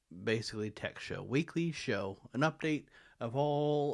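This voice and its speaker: The recording is very clean, with a silent background. A man speaks at a very slow pace. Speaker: tech channel host. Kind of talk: tech commentary monologue. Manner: impaired speech after stroke; halting, repeated words.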